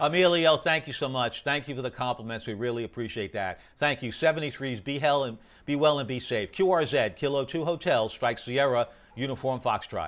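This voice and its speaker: A man with a New York accent, medium pitch, ordinary pitch variation and a fairly quick pace. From New York, Queens. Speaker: amateur radio operator. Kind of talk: radio contact exchange. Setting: amateur radio. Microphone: very good audio on the air.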